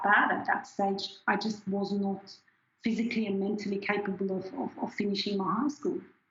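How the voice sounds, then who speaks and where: In a German accent, a woman speaks at a medium pitch. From Switzerland, near Zurich. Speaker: scientist. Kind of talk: interview. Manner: halting.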